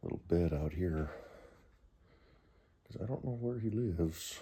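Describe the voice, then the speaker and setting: Quiet and somewhat breathy, the voice moves at a fairly slow pace in a dark, mellow, relaxed tone with ordinary pitch variation and audible room echo. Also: man. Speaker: vlogger. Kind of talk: casual talk to camera. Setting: garage at night. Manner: relaxed, hesitant.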